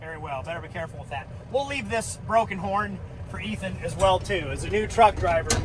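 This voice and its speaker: Noticeable background noise is present. The talking moves fairly quickly. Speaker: farmer. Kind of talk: casual farm vlog narration. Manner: loud, yelling with earplugs in.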